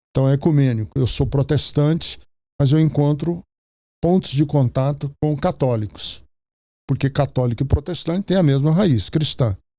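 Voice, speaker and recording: This man's voice is fairly high in pitch and somewhat breathy. It has a dark, mellow tone. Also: ordinary pitch variation, moderate pace, very even loudness, very clean recording, silent background. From Brazil, Ceará. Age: 70s. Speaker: pastor. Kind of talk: podcast interview.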